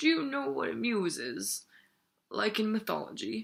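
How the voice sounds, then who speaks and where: In a put-on character voice, a woman uses a gravelly, guttural sound at medium pitch and a moderate pace. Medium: read story. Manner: slow, thoughtful.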